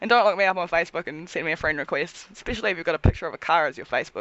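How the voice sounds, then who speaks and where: The speaker has a New Zealand accent and lively intonation. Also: woman. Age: 20s. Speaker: cosplayer and tattoo model. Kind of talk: casual chat.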